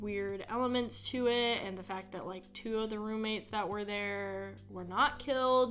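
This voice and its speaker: Faint music plays in the background under fairly even intonation. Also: woman. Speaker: podcast host. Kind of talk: casual podcast chat. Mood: serious, somewhat uneasy. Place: home room. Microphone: studio mic.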